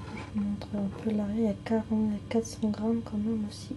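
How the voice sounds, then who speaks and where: Soft-spoken and whispering, a woman is heard over noticeable background noise. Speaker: ASMR content creator. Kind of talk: casual talk to camera, product showcase. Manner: soft-spoken, whispered.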